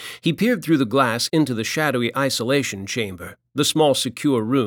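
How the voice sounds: A quiet background behind a natural reading voice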